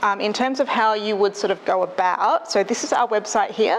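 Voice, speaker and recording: A woman with an Australian accent, medium pitch, ordinary pitch variation and a fairly quick pace, with noticeable background noise. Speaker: librarian. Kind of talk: presentation. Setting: stage with audience. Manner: fast; soft-spoken.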